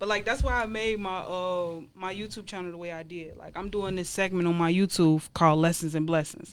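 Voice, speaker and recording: This woman has an unremarkable speaking voice at medium pitch, talking at a fairly quick pace with hardly any pauses, fairly even intonation and big swings in loudness, on a very clean recording with a silent background. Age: 20s. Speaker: YouTuber and guest. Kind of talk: casual chat.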